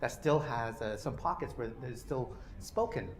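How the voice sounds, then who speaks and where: A somewhat breathy voice with a Canadian accent makes very wide pitch swings amid audible room echo. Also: man. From Canada. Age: 40s. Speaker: policy researcher. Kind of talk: lecture. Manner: many fillers (uh, you know).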